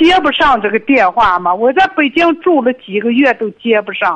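A woman speaks at a moderate pace with very wide pitch swings, and there is noticeable background noise. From Inner Mongolia, Linhe. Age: 60s. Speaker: caller. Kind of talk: phone call-in. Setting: phone call. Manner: halting.

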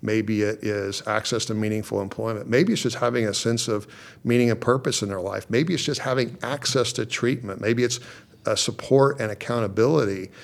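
In an American accent, a man talks at a fairly quick pace in an ordinary speaking voice, medium in pitch with ordinary pitch variation, on a very clean recording with a silent background. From Oklahoma. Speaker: judge. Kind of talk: interview. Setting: judge's chambers in courthouse.

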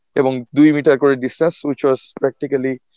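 A man speaks with a dark, mellow tone and a fairly high pitch. His delivery is flat and monotone, recorded dry and close with no echo. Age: 30s. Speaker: epidemiologist and association volunteer. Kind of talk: casual interview.

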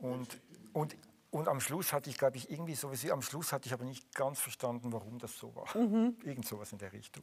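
A man talks at a very fast pace in a medium pitch, somewhat breathy and with lively intonation. His volume rises and falls sharply. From Switzerland (Zurich). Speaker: musician and composer. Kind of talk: live interview.

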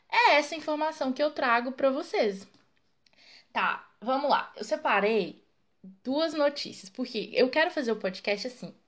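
Against a quiet background, a woman with a high pitch speaks at a fairly slow pace, her pitch swinging very widely. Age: 20s. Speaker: podcast host. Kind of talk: casual solo monologue. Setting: home recording at night.

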